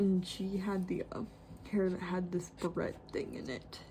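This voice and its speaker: A woman speaks softly at a moderate pace. Her pitch sits in the medium range. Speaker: artist. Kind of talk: tutorial. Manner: soft-spoken; hesitant.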